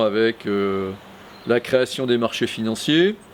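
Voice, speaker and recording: Over noticeable background noise, a man at medium pitch speaks at a very slow pace. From Brittany, France (Morbihan and Finistère). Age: 60s. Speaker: local election candidate, retired bank executive. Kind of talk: self-introduction video testimony. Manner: hesitant, many fillers (euh).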